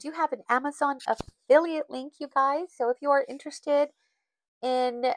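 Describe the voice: A woman talks at a moderate pace in a nasal, fairly bright tone, with a dry, close sound with no echo.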